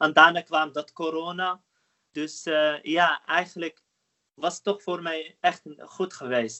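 Speaking at a very slow pace, a man with a high pitch keeps his intonation fairly even while his loudness swings widely. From Netherlands. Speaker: marathon runner. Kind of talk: interview.

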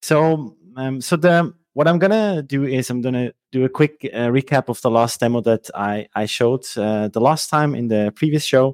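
The recording is dry and close with no echo, capturing a man at medium pitch. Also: ordinary pitch variation, moderate pace. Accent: Swiss German. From Switzerland. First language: Swiss German. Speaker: software engineer. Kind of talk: technical demo and interview. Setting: video call.

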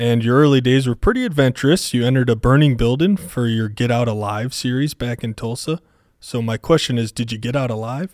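On a very clean recording with a silent background and a dry, close sound with no echo, a man talks fairly quickly in a normal speaking voice, his medium pitch showing ordinary variation. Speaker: podcast co-host. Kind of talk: casual joking banter.

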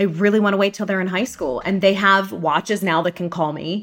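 An unremarkable speaking voice with an American accent and ordinary pitch variation carries this clip. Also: woman. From Pittsburgh, Pennsylvania. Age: 40s. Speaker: journalist and podcast host. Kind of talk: casual interview chat.

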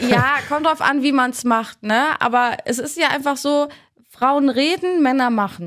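A woman with a high pitch speaks at a fairly slow pace with ordinary pitch variation. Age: 30s. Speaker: podcast host. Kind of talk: casual chat.

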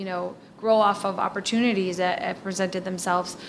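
A woman with an American accent at a moderate pace, ordinary pitch variation, and noticeable background noise. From Milwaukee, Wisconsin. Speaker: historical society director. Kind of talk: interview.

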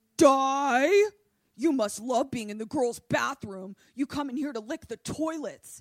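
Someone puts on a high-pitched character voice and speaks at a fairly slow pace. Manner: menacing, taunting.

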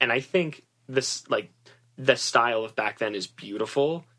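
A man with an American accent, medium pitch, and a bright, sharp tone. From Massachusetts, US. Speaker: stylist and theater student. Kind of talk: interview.

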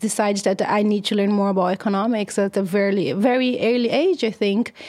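Noticeable background noise sits behind a woman with a Brazilian accent. She talks at a fairly quick pace and a fairly high pitch. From Brazil, countryside of São Paulo state. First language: Portuguese. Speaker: economist, university researcher. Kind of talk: interview. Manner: halting, frequent fillers and repetitions.

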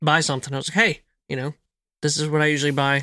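With an American accent, this man's fairly high voice has a bright, sharp tone and fairly even intonation, captured in a very clean, silent recording with a dry, close sound and no echo. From New Jersey, outside Philadelphia. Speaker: homesteader, whiskey enthusiast. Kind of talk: casual chat.

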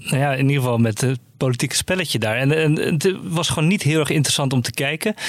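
Very fast male speech with hardly any pauses. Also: fairly high pitch for a man, ordinary pitch variation. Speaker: journalist. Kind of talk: casual news discussion.

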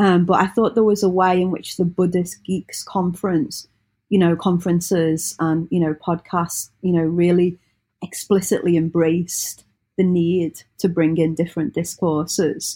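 In a very clean recording with a silent background, a woman with a British accent speaks at a moderate pace, her fairly low, somewhat breathy voice dark and mellow, with very even loudness and fairly even intonation. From Britain. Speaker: religious studies scholar. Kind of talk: in-depth interview.

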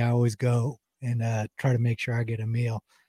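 Somewhat breathy and dark, mellow in tone, a man's voice comes through in a dry, close sound with no echo. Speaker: podcast co-host. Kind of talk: casual chat.

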